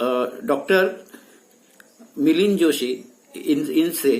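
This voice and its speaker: Here a man talks with lively intonation. His pitch is high. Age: 70s. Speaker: patient giving testimonial, senior lecturer. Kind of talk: testimony. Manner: some hesitations.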